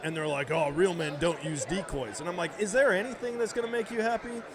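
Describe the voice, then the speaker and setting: The voice has an animated tone and lively intonation over noticeable background noise. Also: man. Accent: American. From central Wisconsin, near Eau Claire. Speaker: hunter, podcast guest. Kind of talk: casual chat. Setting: live at a convention show.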